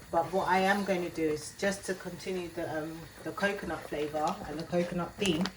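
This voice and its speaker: Fairly quick and fairly low-pitched, a woman talks with fairly even intonation amid audible room echo and noticeable background noise. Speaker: cooking channel host. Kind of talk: cooking tutorial. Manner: casual, chatty.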